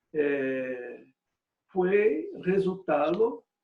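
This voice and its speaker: A man with a Portuguese accent speaks at a high pitch. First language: Portuguese (speaking Spanish). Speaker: retired bishop. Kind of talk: lecture. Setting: video conference. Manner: halting, many fillers.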